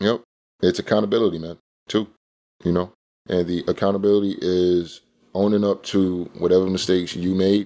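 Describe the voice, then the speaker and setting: Over a silent background in a very clean recording, a man with a very deep, low, dark and mellow voice talks at a fairly quick pace in a flat monotone, leaving long, frequent pauses. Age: 30s. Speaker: podcast host. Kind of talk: casual monologue.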